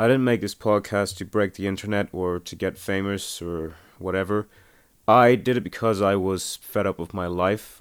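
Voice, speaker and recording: A man talks at a moderate pace in an ordinary speaking voice with a fairly low pitch, in a very clean recording with a silent background. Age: 20s. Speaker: independent podcast creator and aspiring filmmaker. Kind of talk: audio commentary monologue.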